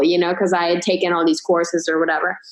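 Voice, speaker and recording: Very fast female speech against noticeable background noise. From grew up abroad, moved to the US at 16. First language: not English. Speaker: chiropractor and business coach. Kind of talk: casual podcast interview.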